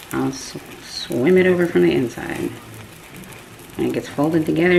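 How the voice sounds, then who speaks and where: A woman with an American accent talks at a fairly quick pace. Audible room echo and noticeable background noise surround her voice. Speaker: home cooking vlogger. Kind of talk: cooking tutorial. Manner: casual, chatty.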